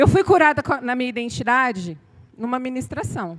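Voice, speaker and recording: A woman's high voice in an animated tone, with very wide pitch swings and a fairly slow pace. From Bahia, Brazil. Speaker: pastor. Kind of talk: sermon. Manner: animated, sometimes shouting.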